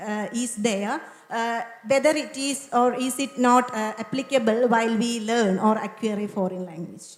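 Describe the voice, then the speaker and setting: A woman with a Keralan accent talks at a moderate pace in a fairly high pitch with ordinary variation, over noticeable background noise. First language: Malayalam. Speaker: English lecturer, audience questioner. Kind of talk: audience question. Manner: hesitant.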